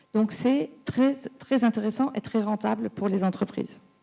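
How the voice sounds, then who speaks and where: In a very clean recording with a silent background, a woman speaks with a somewhat breathy, dark, mellow tone, a medium pitch, and fairly even intonation. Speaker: business executive in clean mobility. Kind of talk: round table panel talk. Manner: fast; hesitant, repeats words.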